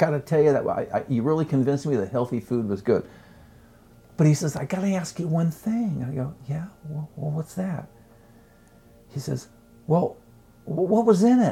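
Music plays behind a man with a fairly high voice and lively intonation. He keeps a moderate pace, broken by long, frequent pauses. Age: 70s. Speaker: chef and author. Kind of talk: casual chat.

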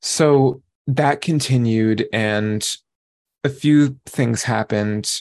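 Very slow man's voice in an American accent, ordinary pitch variation, quiet background. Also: medium pitch for a man. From New York. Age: 30s. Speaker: recovery program member. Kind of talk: testimony. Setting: video call.

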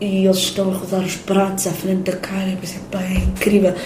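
Amid noticeable background noise and audible room echo, a woman speaks at a medium pitch and a moderate pace. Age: 30s. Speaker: singer-songwriter and filmmaker. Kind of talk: interview.

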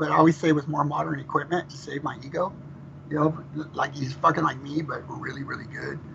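Noticeable background noise runs behind this recording. A man with a fairly high voice speaks with monotone, flat intonation. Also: fairly quick pace. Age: 50s. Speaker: death metal vocalist. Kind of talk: interview. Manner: fast.

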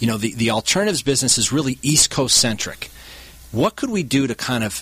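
Noticeable background noise surrounds a man talking in an American accent. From Wisconsin, Milwaukee area. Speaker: hedge fund CEO, former lawyer. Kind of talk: radio interview. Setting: studio.

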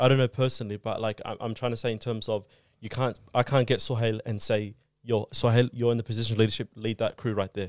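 Very fast, flat monotone delivery in an Australian accent, dry and close with no echo, on a very clean recording with a silent background. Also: man, medium pitch for a man. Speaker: community youth guest. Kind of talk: casual chat.

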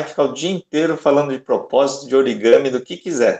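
An ordinary speaking voice, this man's is fairly high in pitch, with lively intonation and a moderate pace. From Salvador, Bahia, Brazil. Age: 40s. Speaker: origami artist and speaker. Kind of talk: casual chat. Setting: video call.

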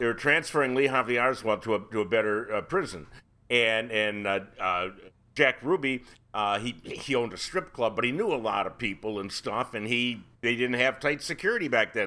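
A man with an American accent, a bright, sharp tone, ordinary pitch variation and a fairly quick pace, in a very clean recording with a silent background. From Ohio. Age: 70s. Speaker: podcast host. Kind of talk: casual chat.

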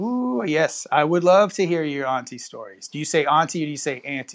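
A man with an American accent talks at a fairly quick pace, his fairly high pitch showing ordinary variation.

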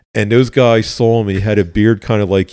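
A man with a Philadelphia accent and a fairly low pitch speaks with fairly even intonation on a very clean recording with a silent background. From West Philadelphia. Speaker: retired police officer. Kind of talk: interview conversation, storytelling.

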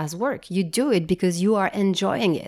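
The recording is very clean with a silent background, letting a dark, mellow tone through. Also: woman. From France, raised in Japan. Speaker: startup founder and CEO. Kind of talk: interview. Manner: hesitant with fillers and repetitions.

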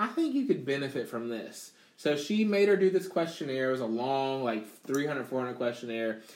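A man with a plain, everyday voice speaks at a fairly high pitch and a moderate pace, with lively intonation and hardly any pauses. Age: 30s. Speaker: gamer and streamer. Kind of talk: casual chat.

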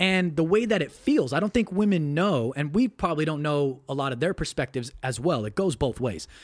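A man with an ordinary speaking voice, fairly high in pitch, talks at a fairly quick pace with hardly any pauses. His intonation is lively. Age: 30s. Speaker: podcast host guest. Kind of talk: casual chat. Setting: video call.

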